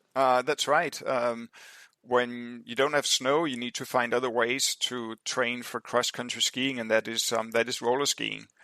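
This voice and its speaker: In a very clean recording with a silent background and a dry, close sound free of echo, a man with a Danish accent speaks at a fairly slow pace. His medium-pitched voice has a bright, sharp tone and flat, monotone intonation. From Denmark. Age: 60s. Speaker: endurance athlete. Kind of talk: podcast interview. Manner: halting, many fillers.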